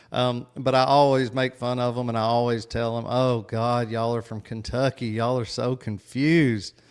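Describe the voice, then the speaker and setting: A man with a strong Tennessee accent is heard in a very clean recording over a silent background. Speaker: podcast host. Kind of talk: casual livestream chat. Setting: livestream with chat.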